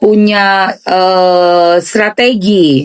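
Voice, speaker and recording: A woman's medium-pitched voice with an eastern Indonesian accent. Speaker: gossip commentator. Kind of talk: casual reaction commentary.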